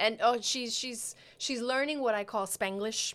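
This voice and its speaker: A woman talks at a moderate pace in a normal speaking voice. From New York. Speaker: podcast co-host. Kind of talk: casual chat.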